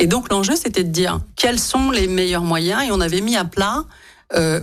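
A woman's unremarkable speaking voice at a medium pitch, with lively intonation. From France, Lyon. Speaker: politician and business school director. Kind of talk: radio interview.

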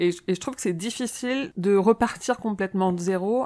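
Speaking fairly quickly with ordinary pitch variation, a normal speaking voice comes across on a very clean recording with a silent background. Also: woman. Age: 30s. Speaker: fan club organizer. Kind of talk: casual chat.

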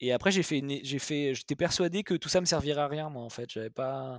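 In a very clean recording with a silent background and a dry, close sound with no echo, a man with a fairly high pitch and ordinary pitch variation speaks in an unremarkable speaking voice. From Paris suburbs, France. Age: 30s. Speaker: entrepreneur. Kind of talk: interview conversation.

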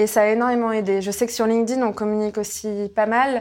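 Her pitch fairly high, a woman speaks at a fairly quick pace in a monotone, flat intonation. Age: 20s. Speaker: entrepreneur, company president. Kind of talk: interview.

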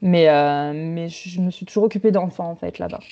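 At a moderate pace, a woman talks with fairly even intonation in a plain, everyday voice. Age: 30s. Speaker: returning expatriate mother. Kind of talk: testimony.

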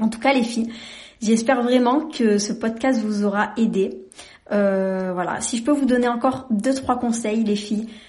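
A woman's fairly high voice sounds somewhat breathy, with fairly even intonation. She speaks at a fairly slow pace, and room echo is audible. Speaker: podcast host. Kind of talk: casual monologue. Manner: monotone.

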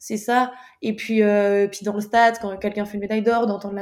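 With monotone, flat intonation, a woman talks at a very fast pace and medium pitch. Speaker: athlete. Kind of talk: interview.

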